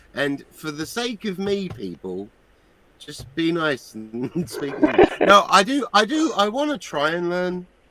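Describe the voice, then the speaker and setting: A man's high voice at a fairly slow pace, over noticeable background noise. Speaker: live stream panelist. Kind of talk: casual chat.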